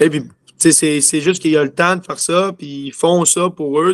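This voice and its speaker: A man speaks with a Quebec accent. His intonation is fairly even, and his pace is moderate. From Quebec City. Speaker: junior hockey player. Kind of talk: interview. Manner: halting.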